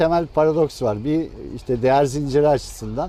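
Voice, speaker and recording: This man has a dark, mellow tone. His pitch sits fairly high. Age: 60s. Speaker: fisherman, former cooperative head. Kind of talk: interview. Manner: hesitant, many fillers.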